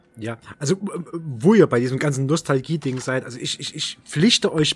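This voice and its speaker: A man with a plain, everyday voice speaks at a moderate pace. His pitch moves in an ordinary way. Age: 30s. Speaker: horror film enthusiast. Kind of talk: casual chat.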